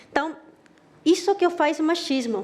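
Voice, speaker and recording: A woman speaks in a Chilean accent with ordinary pitch variation. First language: Spanish (speaking Portuguese). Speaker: marketing director. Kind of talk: presentation talk.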